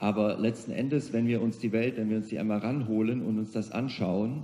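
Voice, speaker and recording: A man's dark, mellow tone at a fairly quick pace, fairly even intonation, and audible room echo. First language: German. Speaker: CEO of a global organization, keynote speaker. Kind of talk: conference keynote speech. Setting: conference hall with audience.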